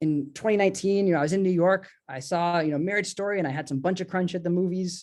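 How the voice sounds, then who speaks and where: Over a quiet background, a man talks very fast at a high pitch with ordinary pitch variation. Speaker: artist and book designer. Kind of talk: online presentation. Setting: video call.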